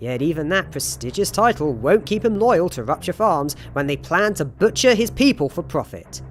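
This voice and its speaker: A man talks with very wide pitch swings. Music plays in the background. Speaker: video game critic. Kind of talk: video game list narration.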